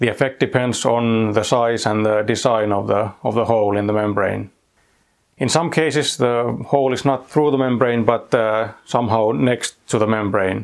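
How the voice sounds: Speaking at a moderate pace, a man uses a fairly low pitch with vocal fry and fairly even intonation.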